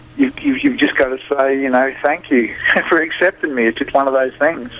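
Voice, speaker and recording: Over noticeable background noise, a man with a strong Australian accent talks at a fairly quick pace, keeping his loudness very even and his intonation fairly even. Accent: thick Australian. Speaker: blues musician. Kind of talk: radio interview. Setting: phone call. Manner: halting, repeats words.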